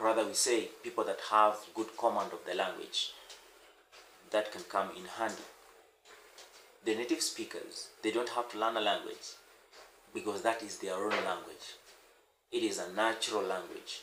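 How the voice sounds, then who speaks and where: A man with an East African accent speaks at a moderate pace with long, frequent pauses, and audible room echo surrounds his voice. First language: Swahili. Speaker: language teacher. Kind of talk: tutorial. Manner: halting.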